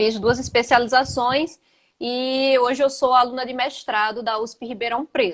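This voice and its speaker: In a southern Brazilian accent, a woman with a high pitch talks at a moderate pace with ordinary pitch variation. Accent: gaúcho (southern Brazilian). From Brazil, Northeast (Rio Grande do Norte). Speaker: physical education teacher. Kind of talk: casual interview chat. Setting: Instagram live video.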